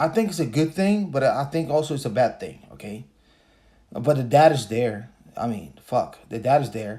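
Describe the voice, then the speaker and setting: With a Spanish accent, a man speaks in a dark, mellow, somewhat breathy tone at a moderate pace, using lively intonation and big swings in loudness, on a very clean recording with a silent background. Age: 40s. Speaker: podcaster. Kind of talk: casual commentary monologue. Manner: casual, hesitant with fillers.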